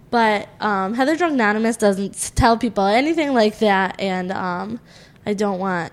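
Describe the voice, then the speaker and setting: Lively intonation marks a woman's normal speaking voice, medium in pitch and moderate in pace. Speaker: podcast co-host. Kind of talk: casual chat.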